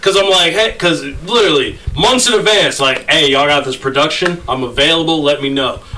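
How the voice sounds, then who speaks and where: A man's high-pitched, animated voice at a fairly quick pace, lively intonation, hardly any pauses, and noticeable background noise. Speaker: podcast host. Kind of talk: casual banter podcast. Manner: animated, joking.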